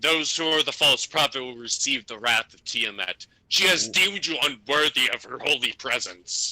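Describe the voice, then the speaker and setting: A man puts on a character voice, pitched fairly high. He keeps a moderate pace. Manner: shouting, menacing, self-righteous.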